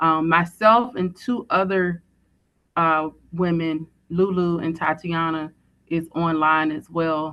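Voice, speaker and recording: A woman's fairly low voice moves at a very slow pace. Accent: slight Southern US. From Virginia, US South. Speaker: formerly incarcerated woman, prison reform advocate. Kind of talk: short speech. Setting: call into live event.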